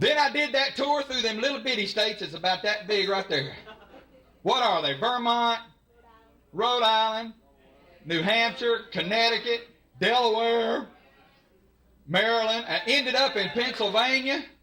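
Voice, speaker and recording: In a Southern US accent, a man speaks in a raised, projected voice at an extremely high pitch, at a moderate pace with ordinary pitch variation and long, frequent pauses. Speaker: stand-up comedian. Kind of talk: live stand-up comedy set. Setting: live audience.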